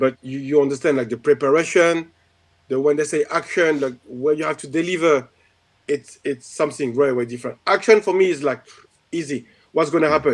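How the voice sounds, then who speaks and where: With a strong French accent, a man speaks in a fairly high pitch with ordinary pitch variation. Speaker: martial arts instructor and stunt performer. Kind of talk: casual chat.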